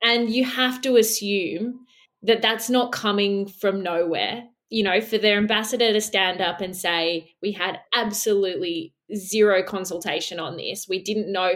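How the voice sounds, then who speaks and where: A woman speaks with an Australian accent at a medium pitch. Her pace is fairly slow, with ordinary pitch variation. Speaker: editor. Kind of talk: casual chat.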